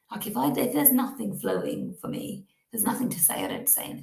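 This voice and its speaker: With a British accent, this speaker talks. She is a woman. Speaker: podcast host. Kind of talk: casual monologue.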